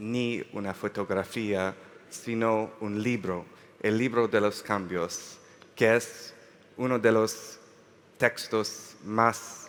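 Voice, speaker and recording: A man with a non-native accent speaks at a very slow pace, fairly low in pitch, with fairly even intonation. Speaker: lawyer, panel moderator. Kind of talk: panel moderation. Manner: halting.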